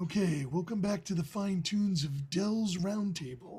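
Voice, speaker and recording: This is a put-on character voice pitched in the middle range. It moves at a moderate pace. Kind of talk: polished broadcast announcer.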